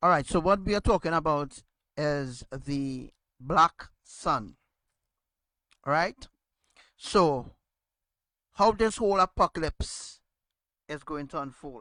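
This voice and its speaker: A loud man with a fairly high, bright, sharp voice speaks very slowly with long, frequent pauses and ordinary pitch variation, in a dry, close sound with no echo over a quiet background. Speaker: religious teacher. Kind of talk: religious teaching.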